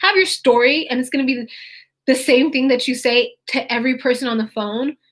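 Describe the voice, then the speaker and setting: A woman speaks in a high pitch with an American accent. The recording is very clean, with a silent background. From California, Fresno. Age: 20s. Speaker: real estate wholesaling coach. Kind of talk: live stream tutorial. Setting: YouTube live stream.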